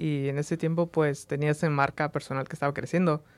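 Heard on a very clean recording with a silent background and a dry, close sound with no echo, a man speaks at a moderate pace with a fairly high pitch, fairly even intonation and a plain, everyday voice. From Las Vegas, Nevada (born in Mexico, moved at age 3). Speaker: photographer and content creator. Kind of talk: casual interview. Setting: studio.

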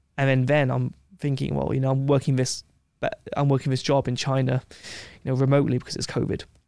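In an English accent, a man speaks at a very fast pace in a dark, mellow tone at medium pitch, his intonation monotone and flat. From England. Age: 20s. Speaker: travel adventurer and video creator. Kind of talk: casual chat. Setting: studio.

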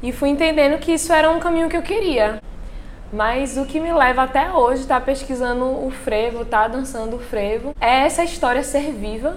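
Over noticeable background noise and audible room echo, a woman speaks at a fairly quick pace with a high pitch and ordinary pitch variation. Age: 20s. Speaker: dancer and dance student. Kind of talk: interview testimony.

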